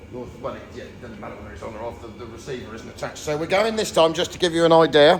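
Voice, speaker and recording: A man with a British accent talks at a very fast pace with hardly any pauses, lively intonation and big swings in loudness. Noticeable background noise runs under the recording. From England. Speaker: YouTube vehicle restorer. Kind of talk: casual chat.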